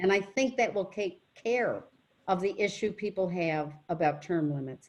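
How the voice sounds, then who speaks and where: Lively in intonation, a woman speaks at a fairly slow pace. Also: medium pitch for a woman. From western New York (Rochester). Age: 60s. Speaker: political candidate. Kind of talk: Q&A talk at a club meeting. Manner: animated.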